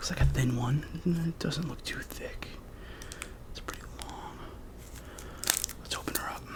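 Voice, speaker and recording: Whispering with long, frequent pauses over noticeable background noise. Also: moderate pace. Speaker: ASMR creator. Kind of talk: casual talk to camera. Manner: whispered.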